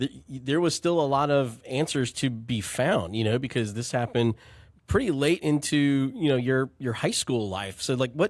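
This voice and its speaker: An ordinary speaking voice moves at a moderate pace with ordinary pitch variation. The recording is very clean and the background silent. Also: man, medium pitch for a man. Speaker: podcast host, nonprofit co-founder and CEO. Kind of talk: podcast interview questions.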